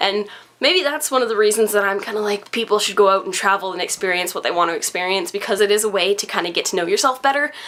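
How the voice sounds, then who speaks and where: A woman talks at a very fast pace with a Canadian accent. There is noticeable background noise. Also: medium pitch for a woman, ordinary pitch variation. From Canada. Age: young. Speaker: vlogger. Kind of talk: casual chat. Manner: animated.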